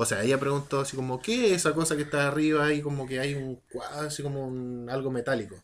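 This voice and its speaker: On a very clean recording with a silent background, a man talks at a moderate pace and a fairly high pitch, with ordinary pitch variation. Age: 30s. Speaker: podcast co-host. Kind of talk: casual chat. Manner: animated.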